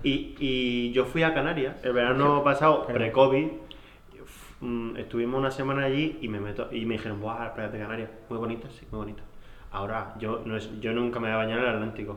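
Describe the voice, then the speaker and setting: A man speaks at a fairly quick pace and a medium pitch with fairly even intonation. His loudness swings widely, and the room echo is audible. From Murcia. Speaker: podcast co-host. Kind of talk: casual chat.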